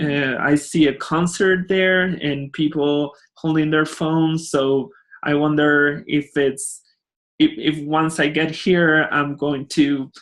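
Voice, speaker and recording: This man talks very slowly with a non-native accent, his fairly high pitch held in a flat, monotone intonation. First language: not English. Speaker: usability test participant. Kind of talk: think-aloud user test. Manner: halting.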